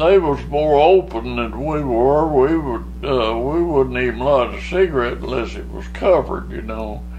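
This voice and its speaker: Over noticeable background noise, a man with a Southern US accent speaks at a moderate pace. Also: big swings in loudness. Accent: Southern American. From Arkansas. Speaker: war veteran. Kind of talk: interview answer.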